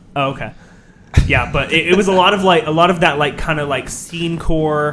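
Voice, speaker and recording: A man's fairly high voice with fairly even intonation amid noticeable background noise. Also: moderate pace. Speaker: rapper and producer. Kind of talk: casual interview.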